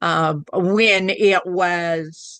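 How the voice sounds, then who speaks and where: A woman's fairly low voice with a strong Southern Oklahoma accent, fairly even intonation, and a dry, close sound with no echo. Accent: strong Southern Oklahoma twang. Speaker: spiritual channeler. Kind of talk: casual chat.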